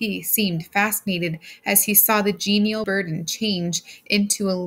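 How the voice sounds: The speaker uses a natural reading voice, keeping the intonation fairly even.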